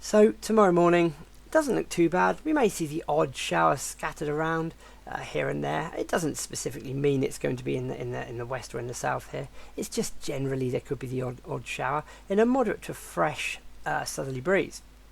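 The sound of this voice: The voice is croaky with vocal fry, moving at a fairly quick pace with ordinary pitch variation.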